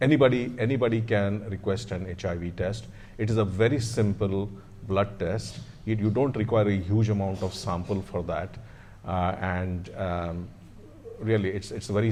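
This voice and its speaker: At a moderate pace, a man speaks with a dark, mellow tone and fairly low pitch, his pitch varying in an ordinary way amid audible room echo. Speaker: hospital doctor. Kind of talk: panel Q&A. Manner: loud; hesitant, many fillers.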